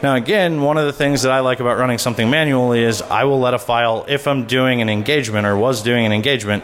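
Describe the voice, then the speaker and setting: At a very fast pace with hardly any pauses, a man speaks in a medium pitch with ordinary pitch variation and very even loudness, and room echo is audible. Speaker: conference speaker on malware analysis. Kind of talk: conference talk with live demo. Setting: stage with audience.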